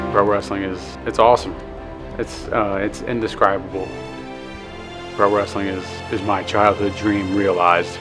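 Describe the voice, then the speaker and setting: Over clear music in the background, a man speaks at a moderate pace and fairly low pitch with ordinary pitch variation and long, frequent pauses. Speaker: pro wrestler. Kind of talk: documentary interview answer. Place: hall.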